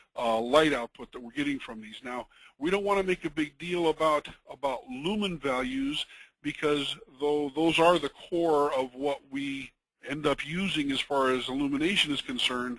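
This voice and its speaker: A man's fairly high voice at a moderate pace, with ordinary pitch variation, big swings in loudness and a quiet background. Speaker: product webinar presenter. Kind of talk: technical webinar presentation. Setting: webinar. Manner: halting, many fillers.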